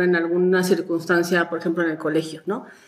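Noticeable background noise under a woman's speech. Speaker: mother of a podcast host. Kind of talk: casual chat.

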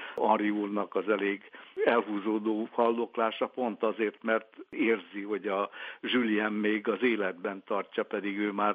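A man's fairly low voice at a fairly slow pace, monotone and flat in intonation. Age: 70s. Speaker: literary translator. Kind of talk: interview.

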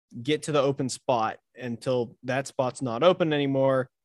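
With a plain, everyday voice, a man speaks at a moderate pace in a fairly high pitch and fairly even intonation, the sound dry and close with no echo. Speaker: podcast host. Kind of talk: casual interview chat.

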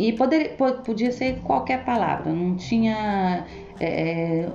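A woman with lively intonation, plus audible room echo and noticeable background noise. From Brazil, Goiânia. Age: 40s. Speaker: cleaner. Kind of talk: interview.

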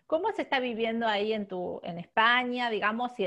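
Against a quiet background, a woman talks at a fairly quick pace in a Rioplatense accent. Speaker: podcast host. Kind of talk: interview.

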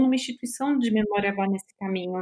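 A woman talks in a Brazilian accent. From Brazil, São Paulo. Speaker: museum documentation researcher. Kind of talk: casual chat.

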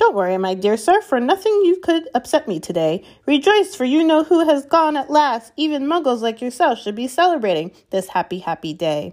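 A woman's put-on character voice, squeaky and high-pitched, with a cheerful tone, very wide pitch swings and hardly any pauses. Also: moderate pace, very clean recording, silent background. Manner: cheerful, delighted.

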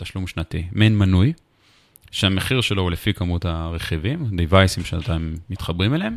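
A man's very deep, low voice with lively intonation at a very fast pace. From Israel, Jerusalem. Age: 30s. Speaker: tech startup founder and CEO. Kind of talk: interview.

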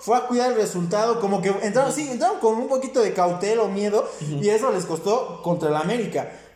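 Recorded with noticeable background noise and audible room echo, a man talks very fast at a high pitch with ordinary pitch variation. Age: 20s. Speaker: sports podcast host. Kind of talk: casual chat.

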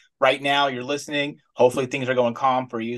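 A man races along at a very fast pace, the background quiet. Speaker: co-host, former Marine. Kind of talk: casual interview conversation.

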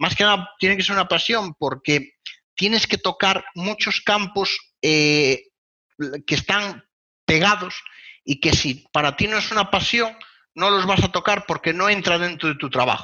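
At a fairly slow pace, a man with a Castilian accent speaks in a high pitch. His pitch variation is ordinary, and his loudness stays very even. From Spain. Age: 20s. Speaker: web performance consultant. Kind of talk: interview.

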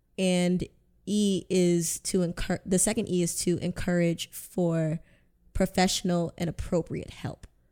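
A woman speaks fairly slowly at a fairly low pitch in a monotone, flat intonation, on a very clean recording with a silent background. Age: 20s. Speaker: mental health advocate. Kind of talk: casual chat.

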